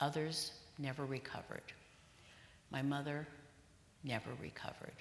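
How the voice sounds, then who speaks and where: A woman's very deep, low voice, monotone and flat, at a moderate pace. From Hungary. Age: 70s. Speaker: Holocaust survivor. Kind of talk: public lecture.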